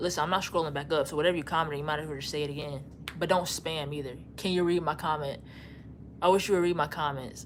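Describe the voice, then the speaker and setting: A woman with a very deep, low pitch speaks at a very fast pace in an animated tone, with audible room echo. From Louisiana, Baton Rouge. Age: 20s. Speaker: YouTuber. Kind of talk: live stream chat reading comments. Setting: live stream.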